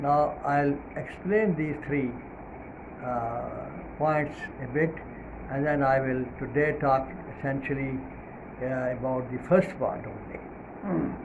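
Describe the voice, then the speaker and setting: A man speaks very slowly, with long, frequent pauses, at a fairly high pitch. Noticeable background noise and audible room echo fill the recording. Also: ordinary pitch variation. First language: not English. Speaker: Islamic preacher. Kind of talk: religious talk. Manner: hesitant, many fillers.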